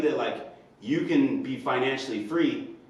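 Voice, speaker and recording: A man talks at a moderate pace. Room echo is audible, and background noise is noticeable. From Indiana. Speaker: personal trainer and vlogger. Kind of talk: personal vlog monologue. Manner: hesitant, many fillers.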